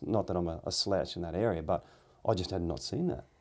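On a very clean recording with a silent background, a man with an Australian accent speaks at a fairly quick pace, his pitch very deep and low with ordinary pitch variation. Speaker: podcast interviewer and hunter. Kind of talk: casual chat.

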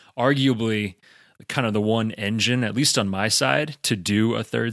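In a very clean recording with a silent background, a man with an unremarkable speaking voice talks fairly slowly, his fairly low pitch showing ordinary variation. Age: 30s. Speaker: podcast co-host. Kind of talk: casual chat.

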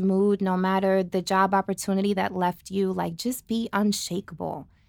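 A woman at a medium pitch, with an American accent, at a moderate pace. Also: very clean recording, silent background. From New Jersey. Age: 30s. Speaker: guest, aspiring dance studio owner. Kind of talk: casual chat. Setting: studio.

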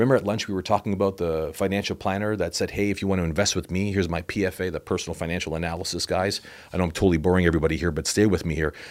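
A man with a Canadian accent and a very deep, low pitch, very fast with hardly any pauses, fairly even in intonation, on a very clean recording with a silent background. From Canada, Toronto. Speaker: financial author and motivational speaker. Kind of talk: casual interview.

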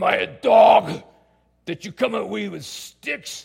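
A man puts on a raspy character voice. It sits high in pitch and moves at a fairly slow pace. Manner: menacing, scornful.

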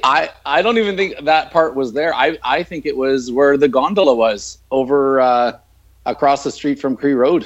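In a plain, everyday voice, a man speaks at a moderate pace with a fairly high pitch and ordinary pitch variation. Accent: Canadian. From northern Canada. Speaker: leadership speaker and author. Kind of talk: casual chat. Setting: video call.

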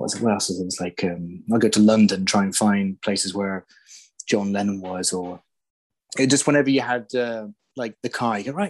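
A man with an English accent speaks at a moderate pace and a fairly low pitch, with ordinary pitch variation. The sound is dry and close with no echo, over a quiet background. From England. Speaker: silent film location researcher. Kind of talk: casual chat. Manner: halting.

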